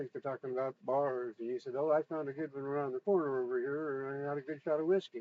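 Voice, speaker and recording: Very fast delivery comes with fairly even intonation. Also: man, fairly high pitch for a man. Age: 60s. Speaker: vlogger with hearing loss. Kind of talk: personal testimony monologue. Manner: hesitant, with frequent fillers.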